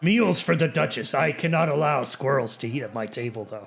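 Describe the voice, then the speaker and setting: A man puts on a raspy character voice at a fairly high pitch. He talks at a fairly quick pace with lively intonation. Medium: actual play. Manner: grandiose.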